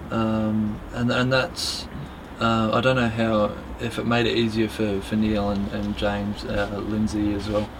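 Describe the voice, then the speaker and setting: Amid noticeable background noise and audible room echo, a man with an Australian accent speaks fairly slowly at a fairly low pitch in a monotone, flat intonation. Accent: Australian, non-UK. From Australia, Melbourne. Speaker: competition barista. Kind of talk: casual interview chat.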